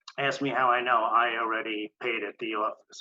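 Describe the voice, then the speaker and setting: The speech comes at a fairly quick pace in a monotone, flat intonation. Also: man. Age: 60s. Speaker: storyteller. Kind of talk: storytelling.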